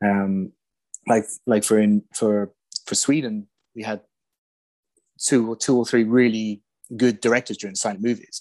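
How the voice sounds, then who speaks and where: In an English accent, the speaker talks in a flat monotone with long, frequent pauses against a quiet background. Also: man, fairly low pitch for a man, moderate pace. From England. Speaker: silent film location researcher. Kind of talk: casual chat. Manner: halting.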